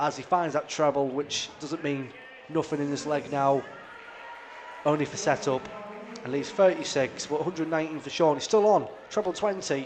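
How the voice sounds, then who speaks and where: There is noticeable background noise behind a man speaking. He has a North East England accent and takes long, frequent pauses. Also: fairly high pitch for a man, ordinary pitch variation, moderate pace. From North East England, Darlington. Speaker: darts commentator. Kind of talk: live commentary. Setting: live stream of darts match.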